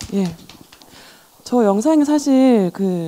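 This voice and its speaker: A woman speaks with a Daegu accent and a dark, mellow tone. Her pitch swings very widely. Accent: Gyeongsang (Daegu) dialect. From Daegu, South Korea. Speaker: gallerist and art dealer. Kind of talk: panel discussion.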